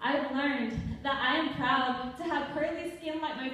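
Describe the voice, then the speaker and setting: A woman with an American accent and high pitch at a moderate pace, with audible room echo and noticeable background noise. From Texas border town. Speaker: slam poet. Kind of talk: performance poetry.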